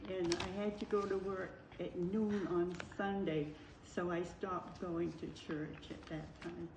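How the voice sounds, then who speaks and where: A woman's fairly low voice with fairly even intonation at a fairly slow pace, over noticeable background noise. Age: 80s+. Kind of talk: interview answer.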